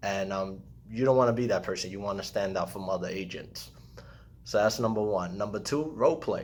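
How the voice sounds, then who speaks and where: At a fairly quick pace, a man with a fairly low pitch and ordinary pitch variation speaks in a room with audible echo. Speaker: real estate agent. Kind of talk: tutorial. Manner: fast.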